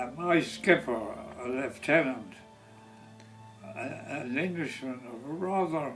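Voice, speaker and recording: Over music in the background, a man at medium pitch talks at a very slow pace with ordinary pitch variation, big swings in loudness, and long, frequent pauses. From Ireland. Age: 80s+. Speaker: war veteran. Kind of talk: interview answer.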